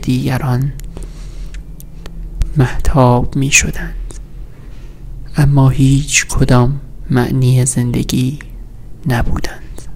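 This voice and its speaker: A soft-spoken man in a flat monotone at a very slow pace, with light background noise. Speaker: ASMR creator. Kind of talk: sleep story reading of poetic prose. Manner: soft-spoken, slow. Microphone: studio mic.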